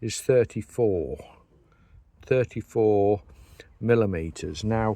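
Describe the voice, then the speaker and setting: Very slowly, a man with an English accent speaks in a dark, mellow tone, with a dry, close sound with no echo and a quiet background. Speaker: beekeeper and hive maker. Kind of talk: tutorial. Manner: halting, many fillers and repeats.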